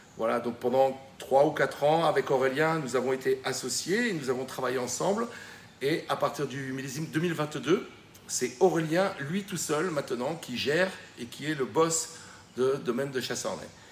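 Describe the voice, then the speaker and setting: Ordinary pitch variation and a fairly high pitch from a man speaking at moderate speed. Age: 60s. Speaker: retired winemaker. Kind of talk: video message. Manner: hesitant, many fillers.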